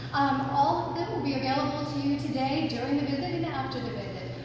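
In a room with strong echo and noticeable background noise, a woman talks at a moderate pace. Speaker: museum staff host. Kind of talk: welcome address at an exhibit preview. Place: hall. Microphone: camera far.

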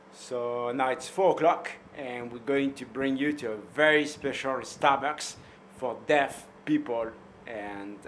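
Over light background noise, a man speaks at a fairly slow pace with ordinary pitch variation and big swings in loudness. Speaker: travel vlogger. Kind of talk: casual vlog chat. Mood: upbeat despite broken camera. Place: home room. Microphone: phone near.

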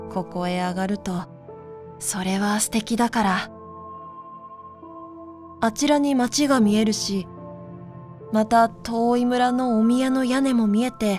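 A fairly high-pitched woman at a very slow pace, ordinary pitch variation, long, frequent pauses, and music in the background. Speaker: narrator. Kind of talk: sleep story reading.

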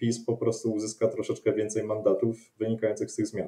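The background stays quiet. A man speaks fairly quickly, his tone dark and mellow. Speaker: political commentator. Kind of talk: panel discussion. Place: home room. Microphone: video call.

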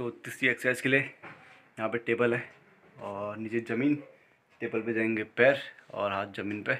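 Fairly even intonation from a man, his pace fairly slow. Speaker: fitness vlogger. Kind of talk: casual vlog chat. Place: home room. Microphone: phone near.

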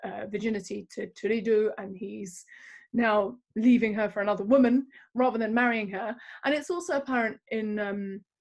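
At a moderate pace and with ordinary pitch variation, a woman speaks over a quiet background. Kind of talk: interview answer. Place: home room. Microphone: video call.

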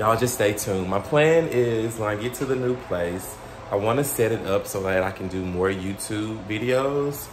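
Against noticeable background noise, a man with a fairly low pitch speaks at a moderate pace with ordinary pitch variation. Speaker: fashion vlogger. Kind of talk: casual vlog chat. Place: home room. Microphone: phone near.

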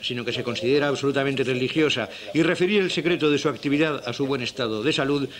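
A man with a fairly high pitch and ordinary pitch variation talks at a very fast pace with hardly any pauses over noticeable background noise. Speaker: TV news reporter. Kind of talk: local TV news narration.

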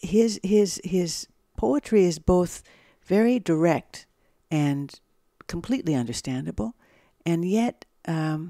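Against a quiet background, a woman speaks very slowly with a fairly low pitch and a dark, mellow tone, making very wide pitch swings in a dry sound with no echo. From Ontario, Canada. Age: 60s. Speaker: novelist; interviewee. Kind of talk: interview answer. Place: home room.

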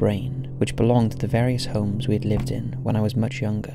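Noticeable background noise runs under this man's voice. He talks at a fairly quick pace with monotone, flat intonation. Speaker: story narrator. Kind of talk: scary story narration.

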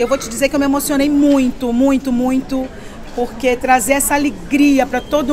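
Faint music plays behind a woman who speaks at a high pitch and a fairly quick pace. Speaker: actress at premiere. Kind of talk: interview answer. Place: hall. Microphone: handheld.

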